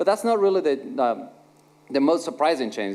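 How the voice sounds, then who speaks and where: Lively intonation marks this man's speech. He talks with a non-native accent. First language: not English. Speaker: conference speaker, software engineer. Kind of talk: conference talk, two-person conversation on stage. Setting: stage with audience. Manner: halting, many fillers and repetitions.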